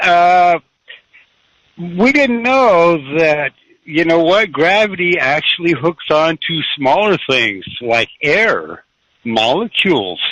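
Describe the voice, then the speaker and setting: Speaking at a very slow pace, a man with an American accent has a high pitch, a bright, sharp tone and very wide pitch swings, the sound dry and close with no echo. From California, Santa Cruz area. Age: 60s. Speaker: caller. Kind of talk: radio call-in.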